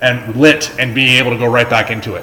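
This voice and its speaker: A man is speaking, and the room echo is audible. Background noise is noticeable. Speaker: pinball streamer. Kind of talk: live gameplay commentary. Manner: loud.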